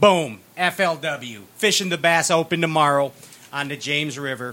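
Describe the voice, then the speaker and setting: A man with a Chicago accent speaks in a fairly high, bright, sharp voice with an animated tone. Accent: Chicago American. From Chicago, US. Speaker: podcast host. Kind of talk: casual banter, interview. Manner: animated, jokey.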